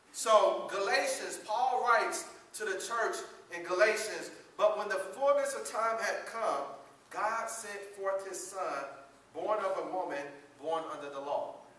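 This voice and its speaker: A man's voice with lively intonation, big swings in loudness, a fairly slow pace, and audible room echo. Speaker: preacher. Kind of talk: sermon. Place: church. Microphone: camera far.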